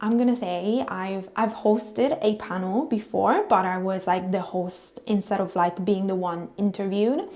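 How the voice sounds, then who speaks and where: Her voice medium in pitch, a woman with an Italian accent speaks at a fairly slow pace with ordinary pitch variation. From Italy. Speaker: vlogger. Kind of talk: casual vlog talk to camera. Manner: casual with fillers.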